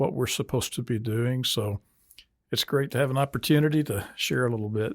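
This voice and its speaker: In a very clean recording with a silent background and a dry, close sound with no echo, a man with a medium pitch talks at a fairly quick pace with ordinary pitch variation in a normal speaking voice. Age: 60s. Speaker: preacher and author. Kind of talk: interview. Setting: studio.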